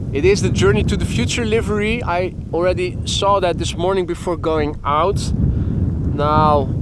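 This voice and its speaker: A man with a Dutch accent talks with hardly any pauses, over noticeable background noise and audible room echo. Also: fairly slow pace. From Netherlands. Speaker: plane spotting livestreamer. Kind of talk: live commentary. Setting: outdoors by airport runway. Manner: halting, stumbles over words.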